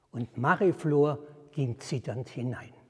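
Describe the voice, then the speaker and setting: In a quiet background, a man speaks with a warm tone, somewhat breathy, with ordinary pitch variation. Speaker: storyteller. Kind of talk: fairy tale storytelling. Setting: outdoors at a historic well. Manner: measured, formal storyteller's cadence, calm and deliberate; warm, inviting address to the audience. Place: church. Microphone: lapel.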